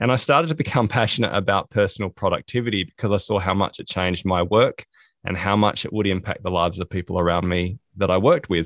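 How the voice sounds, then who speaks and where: A man talking very fast, dry and close with no echo, over a quiet background. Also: fairly low pitch for a man, ordinary pitch variation. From Australia. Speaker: speaker, productivity trainer and author. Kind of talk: interview answers.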